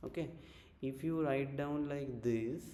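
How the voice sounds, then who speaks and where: A man speaks at a moderate pace with a medium pitch, a dark, mellow tone and fairly even intonation, with audible room echo. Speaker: chemistry teacher. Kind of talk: online lecture.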